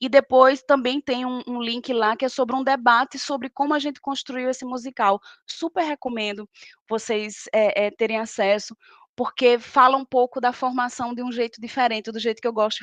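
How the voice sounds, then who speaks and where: In a northeastern Brazilian accent, a woman with a high pitch speaks with fairly even intonation in a dry, close sound with no echo. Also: moderate pace. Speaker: professor and lecturer. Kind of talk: lecture.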